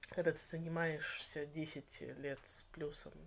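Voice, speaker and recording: This woman has a very deep, low voice. She talks fairly slowly. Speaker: channel host on Victorian topics, writer. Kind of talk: interview conversation. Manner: animated.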